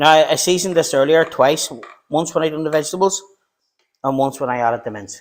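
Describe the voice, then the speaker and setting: A man with a Northern Irish accent talks at a very fast pace and fairly high pitch. His pitch variation is ordinary, and he takes long, frequent pauses. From Northern Ireland, Belfast. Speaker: home cook YouTuber. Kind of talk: live-stream cooking tutorial. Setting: home kitchen. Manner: casual, chatty.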